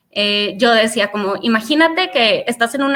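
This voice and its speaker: High-pitched woman's voice with a bright, sharp tone. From Mexico. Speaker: career speaker. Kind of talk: webinar talk. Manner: hesitant, many fillers.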